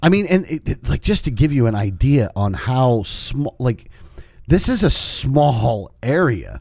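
A somewhat breathy man's voice at medium pitch, fairly slow in pace, with very wide pitch swings. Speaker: podcast co-host. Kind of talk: casual banter.

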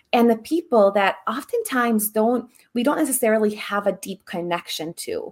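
Her voice plain and everyday, a woman speaks at a moderate pace and fairly high pitch with ordinary pitch variation, on a very clean recording with a silent background. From Serbia, moved to US at 10. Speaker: embodiment coach. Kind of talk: interview.

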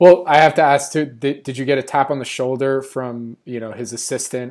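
Here a man talks in a plain, everyday voice at medium pitch and a moderate pace. The recording is very clean with a silent background. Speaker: podcast host. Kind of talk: interview, intro and outro reads.

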